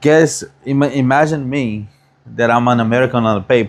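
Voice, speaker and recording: With a Brazilian accent, a man talks at a medium pitch with ordinary pitch variation. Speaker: barber. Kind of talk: casual chat.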